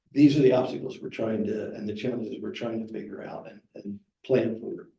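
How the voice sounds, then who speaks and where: A man speaks in a dark, mellow tone that is somewhat breathy. His intonation stays fairly even. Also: medium pitch for a man. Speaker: fire chief. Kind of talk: presentation.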